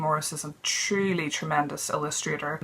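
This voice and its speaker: A woman's fairly low voice in a British accent at a moderate pace. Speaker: book reviewer. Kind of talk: casual talk to camera.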